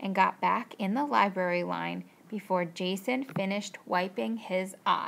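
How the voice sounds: A reading voice that sounds natural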